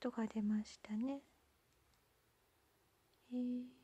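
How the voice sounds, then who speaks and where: The voice is a whisper. Its tone is gentle. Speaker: ASMR channel host. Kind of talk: soft-spoken ASMR candy unboxing talk. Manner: whispered, gentle. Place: home room.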